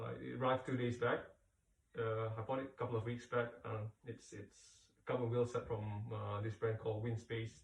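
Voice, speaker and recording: A man with a Malaysian accent speaks at a moderate pace and medium pitch, somewhat breathy, with monotone, flat intonation. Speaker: cycling product reviewer. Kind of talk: casual product review. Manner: halting, many fillers.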